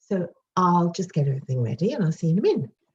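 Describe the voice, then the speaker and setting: With a British accent, a woman speaks in a fairly low, somewhat breathy voice with lively intonation. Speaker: home cooking video presenter. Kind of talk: cooking tutorial. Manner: fast; chatty.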